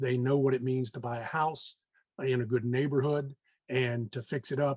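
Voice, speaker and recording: A man with a somewhat breathy, medium-pitched voice speaks at a moderate pace in a dry, close sound with no echo. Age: 60s. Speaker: real estate investor. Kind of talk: podcast interview. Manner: halting, many fillers.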